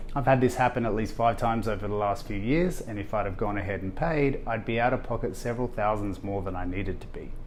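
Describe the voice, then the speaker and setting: Very fast and with hardly any pauses, the speech comes in an Australian accent with ordinary pitch variation. Room echo is audible. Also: man, medium pitch for a man. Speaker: video host. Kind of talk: scripted tutorial.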